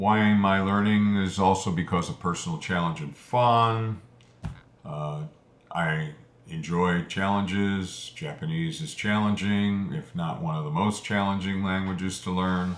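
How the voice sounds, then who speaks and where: A man speaks in a very deep, low voice at a fairly slow pace. His pitch varies in an ordinary way. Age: 70s. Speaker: Japanese language learner, video creator. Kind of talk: casual monologue explaining motivation. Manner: hesitant, with fillers.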